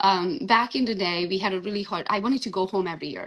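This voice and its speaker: A woman rattles along very fast, her pitch varying in an ordinary way. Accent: Hungarian. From Transylvania, Romania (Hungarian). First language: Hungarian. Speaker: real estate agent. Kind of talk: interview.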